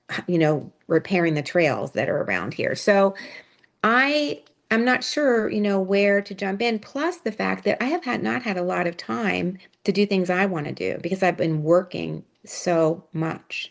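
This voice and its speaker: Speaking at a fairly slow pace, a woman with an American accent uses a normal speaking voice at medium pitch, her intonation lively. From US, Pittsburgh. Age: 60s. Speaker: retired nonprofit leader. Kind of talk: casual interview chat.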